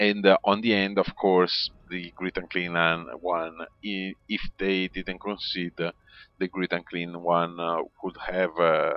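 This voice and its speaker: Speaking very slowly in an Italian accent, a man has a very deep, low pitch and monotone, flat intonation. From Italy. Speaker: video game commentator. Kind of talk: game replay commentary. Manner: halting, many fillers.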